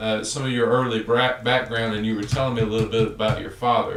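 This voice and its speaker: Noticeable background noise plays under a man who speaks fairly quickly. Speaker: oral historian interviewer. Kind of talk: interview questions.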